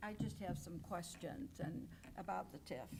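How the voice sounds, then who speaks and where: Fairly slow speech from a woman, carrying audible room echo. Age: 80s+. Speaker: resident speaking at public comment. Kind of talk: public comment. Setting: village board meeting.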